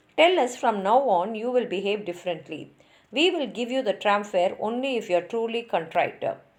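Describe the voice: Simple, plain reading aloud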